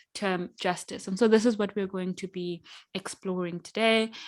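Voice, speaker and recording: A woman with a Zimbabwean accent at a fairly quick pace. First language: Shona. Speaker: workshop facilitator. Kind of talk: online workshop facilitation. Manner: hesitant, many fillers.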